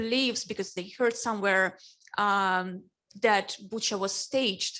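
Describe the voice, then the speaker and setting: With a Russian accent, a woman speaks at a fairly slow pace in a very clean recording with a silent background. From Ukraine. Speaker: newspaper editor on a panel. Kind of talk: panel discussion.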